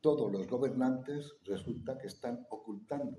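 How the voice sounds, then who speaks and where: A man talks at a moderate pace with a fairly low pitch. He has a normal speaking voice. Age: 60s. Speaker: conference speaker. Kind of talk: public talk with audience Q&A.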